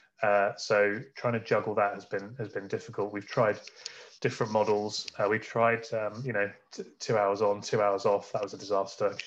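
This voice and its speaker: Speaking in an English Midlands accent, a man with a fairly low pitch talks at a moderate pace in a monotone, flat intonation. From England, Northamptonshire (Kettering). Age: 30s. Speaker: business founder. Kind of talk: interview.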